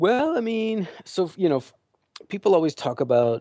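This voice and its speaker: Against a quiet background, a man with an American accent speaks in a dark, mellow tone with ordinary pitch variation. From California. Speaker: MBA admissions consultant. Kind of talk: casual interview chat.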